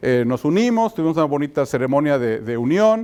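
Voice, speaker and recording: On a very clean recording with a silent background, a man talks at a middling speed. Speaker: pastor. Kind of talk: sermon. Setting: church conference with audience. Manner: hesitant, many fillers.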